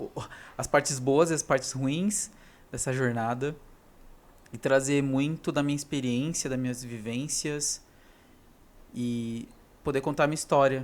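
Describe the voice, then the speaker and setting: Long, frequent pauses break up speech with fairly even intonation. The recording is very clean, with a silent background. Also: man, fairly high pitch for a man. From interior of São Paulo state, Brazil. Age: 30s. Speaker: vlogger. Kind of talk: casual personal vlog monologue. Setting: talking alone to camera. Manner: unscripted, single take with some hesitations.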